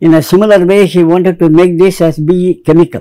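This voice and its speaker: A high-pitched man with a dark, mellow tone, ordinary pitch variation and a moderate pace, against a quiet background. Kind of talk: interview answer. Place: studio. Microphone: lapel.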